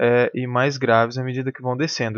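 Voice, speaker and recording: Here a man speaks at a moderate pace with a medium pitch. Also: quiet background. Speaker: music teacher. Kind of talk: lecture. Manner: halting.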